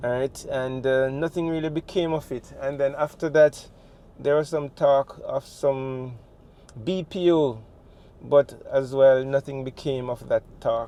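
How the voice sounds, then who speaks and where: A man's fairly high, dark, mellow voice in a Jamaican accent, at a fairly slow pace. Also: fairly even intonation. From Jamaica, St. Thomas parish. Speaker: travel vlogger. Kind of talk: vlog narration. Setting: in a car. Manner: casual, with fillers.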